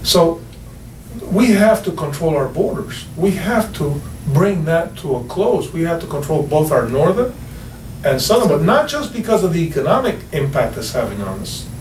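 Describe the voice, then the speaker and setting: A man speaks at a moderate pace in a high voice with very wide pitch swings. Noticeable background noise and audible room echo are present. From Cuba, raised in US from age 8. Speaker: radio show guest. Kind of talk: political talk radio discussion.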